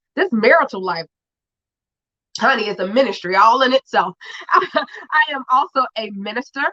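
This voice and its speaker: A woman speaks loudly at a high pitch, her voice making very wide pitch swings at a moderate pace. She leaves long, frequent pauses, and the sound is dry and close with no echo. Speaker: educational leadership coach and show host. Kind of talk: live show monologue. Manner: animated.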